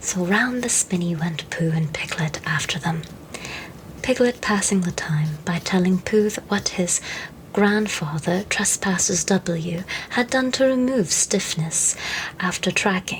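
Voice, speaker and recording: Over noticeable background noise, the soft-spoken speaker uses a gentle tone at a fairly slow pace. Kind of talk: storybook narration, children's classic. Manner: soft-spoken, gentle.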